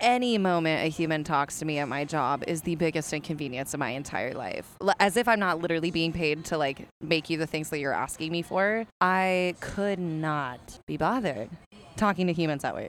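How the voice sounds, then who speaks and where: A woman's fairly low voice at a fairly quick pace, with ordinary pitch variation, in a very clean recording against a silent background. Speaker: podcast co-host. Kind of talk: casual chat. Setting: on location at a bar. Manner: loud, projecting voice; animated.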